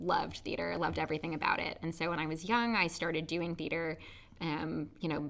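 A woman speaks with a very deep, low pitch and vocal fry. Her tone is bright and sharp. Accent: American. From New Jersey, US. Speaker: community theater actor. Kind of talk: casual interview.

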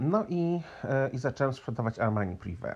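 In a Polish accent, a man speaks at a medium pitch with very wide pitch swings. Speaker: podcaster. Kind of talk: casual storytelling monologue.

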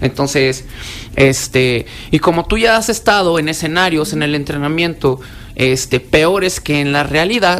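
A fairly slow pace amid noticeable background noise. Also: man, fairly high pitch for a man, ordinary pitch variation. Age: 40s. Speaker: security specialist and self-defense instructor. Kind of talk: radio interview. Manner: casual, colloquial.

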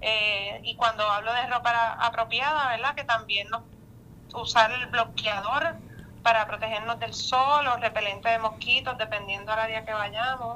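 A woman with a plain, everyday voice, fairly high pitch and fairly even intonation. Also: fairly slow pace. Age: young. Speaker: tourism official. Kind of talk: radio interview.

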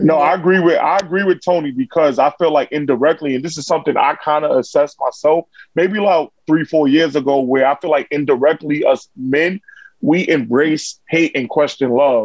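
A man in a New York accent, fairly high in pitch, with ordinary pitch variation and a fairly quick pace. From New York, Harlem. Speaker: content creator. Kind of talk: casual chat.

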